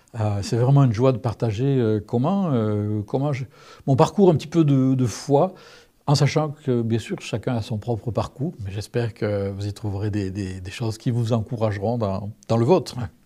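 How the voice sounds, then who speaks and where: Against a quiet background, a man speaks at a moderate pace with medium pitch, ordinary pitch variation and a dark, mellow tone. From southern France. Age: 60s. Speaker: testimony speaker. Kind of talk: testimony. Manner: hesitant, many fillers.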